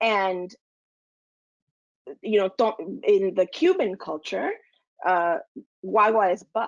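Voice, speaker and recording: In a Spanish accent, a woman talks very slowly at a medium pitch with ordinary pitch variation and long, frequent pauses. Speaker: lactation consultant. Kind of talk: casual panel discussion.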